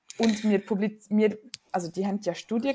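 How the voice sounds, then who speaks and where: With a dark, mellow tone, a woman speaks at a medium pitch and a moderate pace. Her voice is somewhat breathy. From Switzerland, Winterthur. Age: 20s. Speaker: physician and climate activist. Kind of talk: interview conversation.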